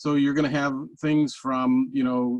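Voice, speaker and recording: The speaker has an American accent and a monotone, flat intonation, heard with a dry, close sound and no echo. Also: man. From New York. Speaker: data industry executive. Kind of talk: webinar presentation. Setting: online webinar. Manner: fast; halting, many fillers and restarts.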